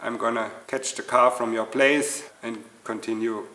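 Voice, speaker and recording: Delivered at a fairly slow pace, the speech comes from a man. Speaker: channel host. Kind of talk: casual vlog chat. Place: workshop.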